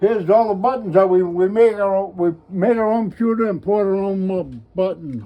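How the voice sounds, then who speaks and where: A man with a high pitch, a fairly quick pace, and fairly even intonation. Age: 80s+. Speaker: retired military officer and Revolutionary War re-enactor. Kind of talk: oral history interview answer.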